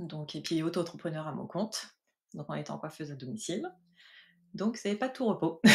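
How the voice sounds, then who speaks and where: A woman's fairly low, dark and mellow voice with vocal fry, lively intonation, a fairly quick pace and long, frequent pauses. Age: 40s. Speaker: mobile hairdresser giving a client testimonial. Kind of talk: testimony interview. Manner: hesitant, many fillers.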